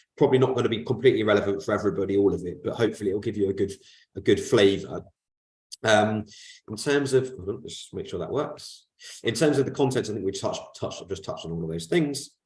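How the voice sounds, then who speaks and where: Over a quiet background, a man talks at a very fast pace, somewhat breathy, with ordinary pitch variation. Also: big swings in loudness. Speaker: corporate finance advisor. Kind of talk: webinar presentation. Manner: hesitant, many fillers.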